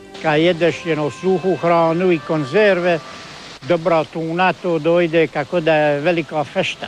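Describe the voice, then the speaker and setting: A man with a high voice talks at a fairly slow pace, keeping his loudness very even and his intonation fairly even. Music plays in the background. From Korcula, Croatia. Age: 60s. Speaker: sailor. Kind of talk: interview answer.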